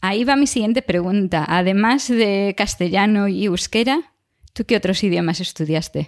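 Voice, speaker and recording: An unremarkable speaking voice comes through at a moderate pace with ordinary pitch variation and very even loudness, the sound dry and close with no echo on a very clean recording with a silent background. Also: woman, medium pitch for a woman. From Galicia, Spain. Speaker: podcast co-host, biologist. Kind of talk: casual chat.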